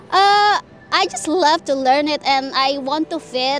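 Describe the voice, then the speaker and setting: A woman speaks at a high pitch with ordinary pitch variation. Music plays in the background. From Indonesia. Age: 20s. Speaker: former teacher, now fast-food cashier. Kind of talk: interview. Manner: halting, many fillers.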